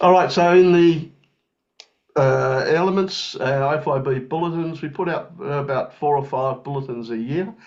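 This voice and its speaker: The speaker talks at a moderate pace with an Australian accent. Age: young. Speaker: president of international engineering federation. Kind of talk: webinar presentation. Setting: online webinar. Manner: halting, many fillers.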